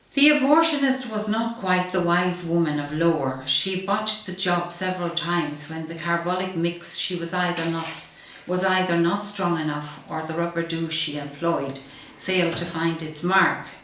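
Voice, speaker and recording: Noticeable background noise sits behind a woman with a fairly low pitch. Her pace is moderate, with ordinary pitch variation and hardly any pauses. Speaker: activist and author. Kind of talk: comic monologue performance.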